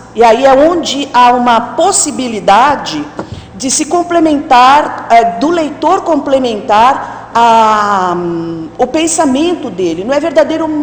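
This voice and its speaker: A woman with lively intonation, amid audible room echo and noticeable background noise. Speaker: academic conference presenter. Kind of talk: conference talk. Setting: auditorium with audience. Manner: halting.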